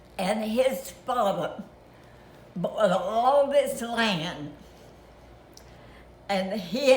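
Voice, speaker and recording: A woman's pitch moves in an ordinary way. Background noise is noticeable throughout. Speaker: grandmother. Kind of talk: family reminiscence, interview answer.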